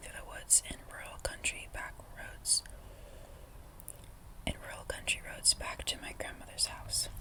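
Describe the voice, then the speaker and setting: A woman's whisper at a moderate pace over noticeable background noise. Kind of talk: ASMR story reading. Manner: soft-spoken.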